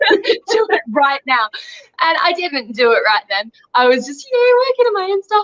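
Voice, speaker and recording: A woman with an Australian accent at a moderate pace, with very wide pitch swings. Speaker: young adult author. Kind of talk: interview.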